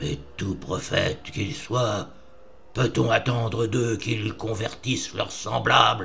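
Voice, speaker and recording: A loud, put-on character voice from a man at medium pitch, fairly slow in pace, with clear background noise. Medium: read story. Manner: oratorical, studied inflections.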